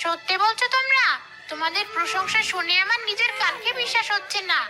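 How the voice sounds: Faint music sits behind a woman doing a cartoonish character voice at an extremely high pitch, with a bright, sharp tone, ordinary pitch variation and a fast pace.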